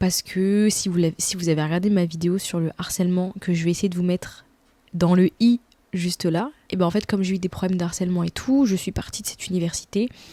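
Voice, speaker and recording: At a fairly quick pace, a woman speaks with a dark, mellow tone, a medium pitch and fairly even intonation. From France. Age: 20s. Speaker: YouTuber. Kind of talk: casual vlog Q&A. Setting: at home in bed. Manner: casual, hesitant with many fillers.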